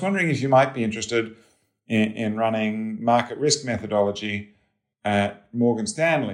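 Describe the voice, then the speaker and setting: A man speaks at a fairly quick pace with an Australian accent. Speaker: head of financial research. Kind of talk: interview.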